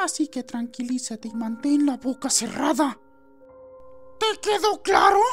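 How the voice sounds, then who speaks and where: Someone in a put-on character voice talks at a moderate pace with long, frequent pauses as clear music plays in the background. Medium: dub.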